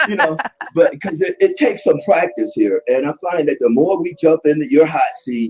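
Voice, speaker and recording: In a dry, close sound with no echo, a man talks at a moderate pace. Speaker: live stream participant. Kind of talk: casual discussion. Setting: live video stream.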